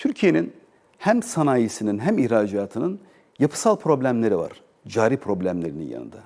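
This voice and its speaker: A very clean recording of a man at a moderate pace, silent in the background. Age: 40s. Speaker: business association president, exporter. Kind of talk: TV interview.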